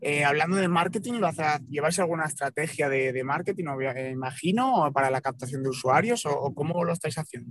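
An unremarkable speaking voice from a man, fairly high in pitch, at a fairly quick pace with ordinary pitch variation. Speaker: podcast co-host. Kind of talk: interview. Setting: in a car.

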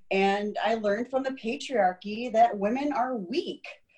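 Speaking at a fairly slow pace, a woman uses lively intonation and a fairly high pitch. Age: 40s. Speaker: endometriosis patient and advocate. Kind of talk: interview. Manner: casual, hesitant with fillers.

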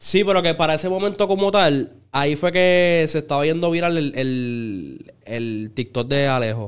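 With a Puerto Rican accent and fairly high pitch, a man talks at a moderate pace with lively intonation and hardly any pauses. The recording is very clean, with a silent background. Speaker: urban music artist. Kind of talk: casual chat.

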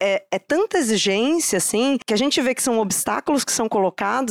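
The recording is very clean, with a silent background and a dry, close sound with no echo. A woman talks at a moderate pace with very wide pitch swings. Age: 30s. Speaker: psychologist, diversity and inclusion specialist. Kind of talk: live podcast conversation. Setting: stage with live audience.

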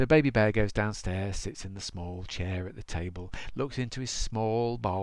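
Simply a natural reading voice

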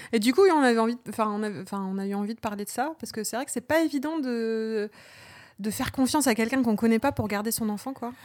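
A woman speaks at a very fast pace in a fairly high voice with ordinary pitch variation. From Normandy, France (Rouen). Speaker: podcast co-host, librarian and parent. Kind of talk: casual chat.

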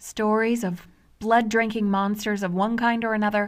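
A medium-pitched woman on a very clean recording with a silent background. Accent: American. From United States. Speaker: podcast host. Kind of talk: scripted narration. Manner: animated.

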